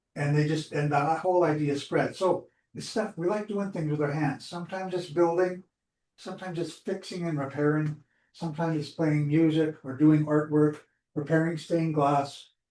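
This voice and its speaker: Speaking at a moderate pace, a man with a fairly high pitch and a dark, mellow tone keeps his intonation fairly even. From Alberta, Canada. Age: 70s. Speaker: community group organizer. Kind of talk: presentation to online audience. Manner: halting.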